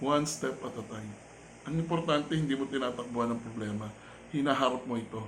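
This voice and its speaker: A man talking very fast in a medium pitch, his pitch variation ordinary. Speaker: vlogger and life-coach style host. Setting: home vlog recording.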